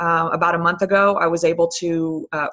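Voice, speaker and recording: The speaker is a woman. Her pitch is fairly low. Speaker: fitness coach. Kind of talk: team conference call talk. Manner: filler-heavy, um and you know.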